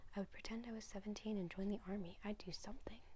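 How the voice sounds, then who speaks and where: A soft-spoken woman talks in a calm tone, dark and mellow and somewhat breathy, with fairly even intonation. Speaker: ASMR reader. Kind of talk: soft-spoken bedtime book reading. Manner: soft-spoken, calm.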